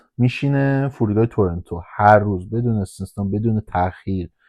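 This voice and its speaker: The speaker is a man with a fairly low pitch. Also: quiet background. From Iran, Hamadan. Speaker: airport ramp agent. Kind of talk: casual guided tour while driving. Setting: in a vehicle at the airport.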